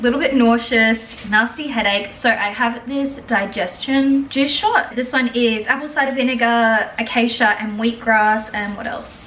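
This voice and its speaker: Over noticeable background noise, a woman with an Australian accent speaks at a moderate pace, her pitch high and her intonation lively. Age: 20s. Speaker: lifestyle vlogger. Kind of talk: casual vlog talk to camera.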